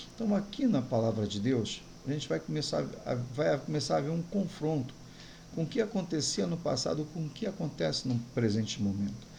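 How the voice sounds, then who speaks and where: A man speaks in a fairly high, dark, mellow voice with vocal fry. His pitch swings very widely, and the room echo is audible. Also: moderate pace. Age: 60s. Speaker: pastor. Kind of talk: sermon.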